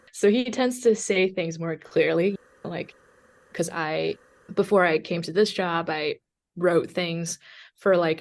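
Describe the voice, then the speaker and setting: Very slow speech from a woman with a Chinese accent, fairly low in pitch, with ordinary pitch variation and long, frequent pauses. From China (Hunan-born, raised in Guangzhou). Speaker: journalist. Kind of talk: interview. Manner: many fillers, halting.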